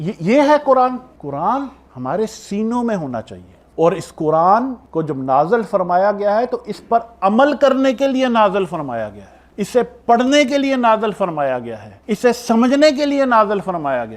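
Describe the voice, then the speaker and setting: A man speaks in a high, passionate voice. His pitch swings very widely and his loudness rises and falls sharply. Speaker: Islamic scholar / preacher. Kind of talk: religious sermon (bayan). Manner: passionate, rhetorical, lecturing.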